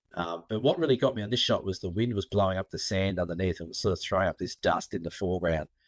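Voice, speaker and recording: With an Australian accent, a man talks at a very fast pace with hardly any pauses, using a very deep, low pitch and ordinary pitch variation. The sound is dry and close, with no echo, in a very clean recording with a silent background. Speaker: photographer and photo tour leader. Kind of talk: casual interview chat.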